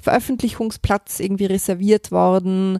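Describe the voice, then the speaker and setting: A woman's medium-pitched, ordinary speaking voice at a moderate pace, with a dry, close sound, no echo, and a very clean recording over a silent background. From Vorarlberg, western Austria. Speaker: crime novelist. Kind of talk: interview. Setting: hotel.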